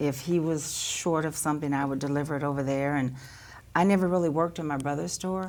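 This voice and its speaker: In an American accent, a woman rushes along at a very fast pace with a very deep, low pitch and fairly even intonation, while the room echo is audible. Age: 60s. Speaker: local business family member. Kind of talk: interview on live local TV.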